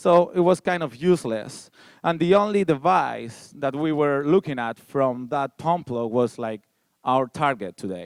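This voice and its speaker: Talking at a fairly slow pace, a man with a Spanish accent has a fairly high pitch and lively intonation. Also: dry, close sound with no echo, very clean recording, silent background. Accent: Spanish, noticeable. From Spain. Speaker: security researcher. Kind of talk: conference talk.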